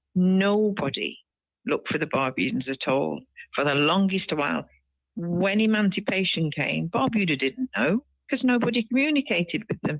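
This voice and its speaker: A woman speaks at a medium pitch and a moderate pace, with very wide pitch swings and very even loudness. The sound is dry and close with no echo. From UK (Barbudan-born). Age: 60s. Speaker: activist and retired educator. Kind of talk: interview.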